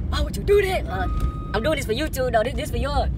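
A man at a very fast pace amid loud background noise, the sound dry with no echo. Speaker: prank vlogger. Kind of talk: casual vlog chat. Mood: excited, slightly nervous. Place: car. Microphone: phone near.

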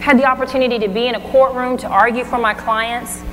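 A woman talks at a fairly quick pace in an energetic tone over noticeable background noise. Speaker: motivational speaker. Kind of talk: motivational keynote speech. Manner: energetic, engaging. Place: stage.

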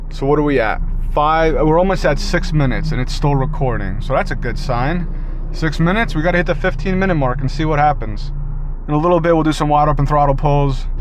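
A man talks at a very fast pace with very even loudness and fairly even intonation. The sound is dry with no echo, over light background noise. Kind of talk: casual vlog chat. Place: car. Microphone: phone near.

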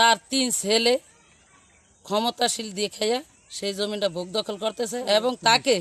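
On a dry, close sound with no echo, a man speaks at a high pitch with fairly even intonation. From Bangladesh, Bhola district (Borhanuddin). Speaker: local resident speaking for a neighbour family. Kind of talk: testimony.

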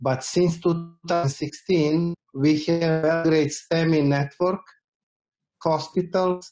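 A man talks at a very slow pace in a monotone, flat intonation. Music plays in the background. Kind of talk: panel discussion answer. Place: home room.

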